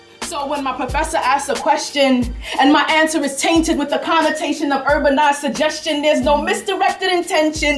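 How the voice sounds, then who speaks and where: A woman at a high pitch and moderate pace, music in the background. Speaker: spoken word poet. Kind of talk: spoken word poetry performance.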